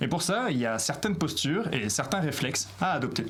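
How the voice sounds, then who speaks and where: A man's voice with very wide pitch swings, audible room echo and noticeable background noise. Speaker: YouTube tutorial host. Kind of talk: tutorial. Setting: alone facing a camera. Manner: loud, articulated, dynamic.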